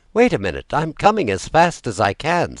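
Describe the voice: A man's put-on character voice, fairly high in pitch, with very wide pitch swings. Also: moderate pace.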